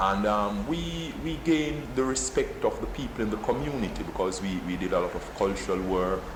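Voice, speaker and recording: With noticeable background noise and audible room echo, a man in a Jamaican accent speaks at a fairly quick pace. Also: hardly any pauses. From Jamaica, Kingston. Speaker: poet. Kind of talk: interview. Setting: office. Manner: halting, repeats words.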